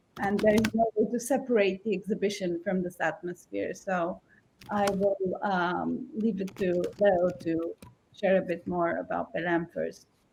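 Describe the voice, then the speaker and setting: Speaking at a fairly slow pace, a woman shows vocal fry and ordinary pitch variation. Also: medium pitch for a woman. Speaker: exhibition curator. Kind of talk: panel presentation.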